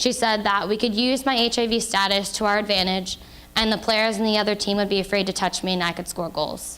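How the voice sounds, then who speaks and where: In an American accent, a plain, everyday voice moves at a fairly quick pace with fairly even intonation. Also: woman, medium pitch for a woman. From Indiana, US. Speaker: author and HIV awareness speaker. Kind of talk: public talk to an audience.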